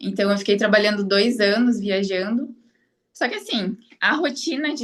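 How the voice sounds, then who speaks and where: This woman has a plain, everyday voice with a fairly high pitch. She speaks at a moderate pace. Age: 30s. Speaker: online course student, affiliate marketer. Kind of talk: interview. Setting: live stream interview.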